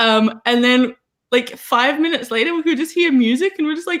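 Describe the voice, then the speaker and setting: A woman speaks loudly with an Australian accent. Her pace is moderate. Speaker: writer, live stream guest. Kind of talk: casual chat.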